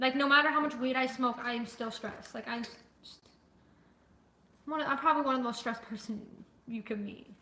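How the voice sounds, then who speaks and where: Loud and high-pitched, a woman speaks in a bright, sharp tone with long, frequent pauses and audible room echo. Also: fairly even intonation, fairly quick pace. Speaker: livestreamer. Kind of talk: casual chat. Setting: livestream with chat. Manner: fast.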